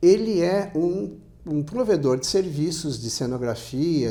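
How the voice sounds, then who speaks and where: A man speaks very slowly with very wide pitch swings, with music in the background and audible room echo. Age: 60s. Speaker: motorsport journalist. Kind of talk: interview. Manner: halting, many restarts.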